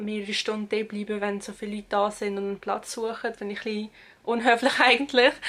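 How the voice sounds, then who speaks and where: A woman speaks in a Swiss accent at a fairly high pitch. Her pace is fairly quick and her intonation monotone and flat. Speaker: university student. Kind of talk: casual talk to camera.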